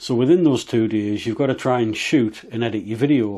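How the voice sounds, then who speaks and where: A man talks at a fairly quick pace with an English accent. His medium pitch holds fairly even intonation. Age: 40s. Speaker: motorcycle vlogger. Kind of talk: casual vlog monologue.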